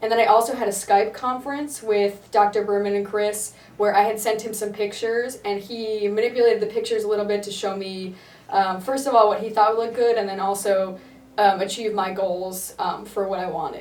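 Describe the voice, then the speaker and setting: The speech moves at a fairly quick pace in a monotone, flat intonation. Audible room echo is present. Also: woman, fairly high pitch for a woman. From US Northeast, Connecticut. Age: 20s. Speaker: surgery patient. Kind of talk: testimonial interview.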